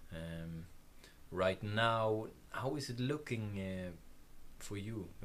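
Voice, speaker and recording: Fairly low male voice in a Swedish accent, with long, frequent pauses and audible room echo. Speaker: podcast host. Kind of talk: interview. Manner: halting.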